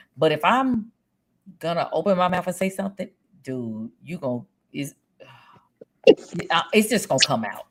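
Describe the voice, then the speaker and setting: With a Louisiana accent, a woman speaks at a fairly slow pace in a bright, sharp tone marked by vocal fry and very wide pitch swings. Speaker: streamer. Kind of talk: casual chat.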